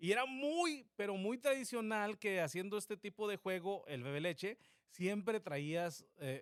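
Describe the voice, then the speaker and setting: This man's voice sits high and swings very widely in pitch, with an animated tone. He talks at a fairly slow pace. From Mexico, Zacatecas (near Sombrerete). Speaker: podcast co-host. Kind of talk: casual chat. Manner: animated, storytelling.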